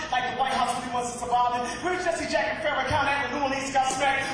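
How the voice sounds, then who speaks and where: Noticeable background noise runs under the recording. The man talks at a very fast pace. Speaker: spoken word poet. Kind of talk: spoken word performance poetry.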